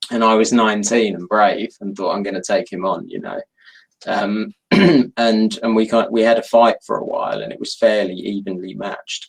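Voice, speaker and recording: Speaking at a moderate pace in a London accent, a man's loudness swings a great deal. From London, England. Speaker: novelist. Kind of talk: author interview.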